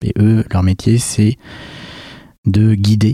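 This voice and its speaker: Somewhat breathy and dark, mellow in tone, a man's fairly low voice comes through in a dry, close sound with no echo. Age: 30s. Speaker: startup founder. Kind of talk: interview.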